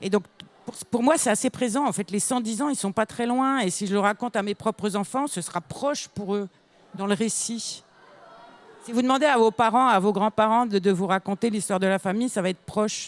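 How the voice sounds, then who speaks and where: Fairly high in pitch and fairly quick, a woman talks in a plain, everyday voice. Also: ordinary pitch variation. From northern France, near Belgium (Lille area). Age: 60s. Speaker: children's author. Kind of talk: panel discussion answering pupils' questions.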